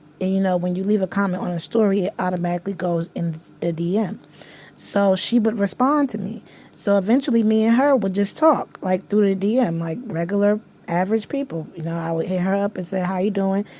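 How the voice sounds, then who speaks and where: A woman at a medium pitch and a fairly quick pace, ordinary in pitch variation, against noticeable background noise. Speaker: vlogger. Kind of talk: casual vlog storytelling. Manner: rambling, halting.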